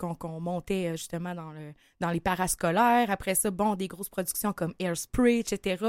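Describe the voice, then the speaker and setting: Medium-pitched woman in a Quebec accent, ordinary pitch variation, dry and close with no echo, very clean recording with a silent background. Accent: Québécois French. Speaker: singer-songwriter. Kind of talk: interview.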